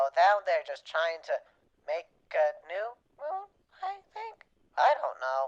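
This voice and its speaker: A put-on character voice, female-sounding, at a fairly slow pace. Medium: machinima. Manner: stammering, hesitant; nervous, apologetic.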